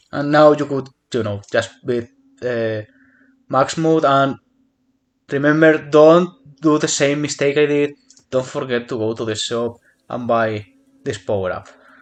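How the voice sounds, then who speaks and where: At a fairly slow pace with long, frequent pauses, a man with a non-native accent and fairly high pitch speaks with ordinary pitch variation. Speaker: gaming youtuber. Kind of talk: casual chat; tutorial. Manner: hesitant with fillers.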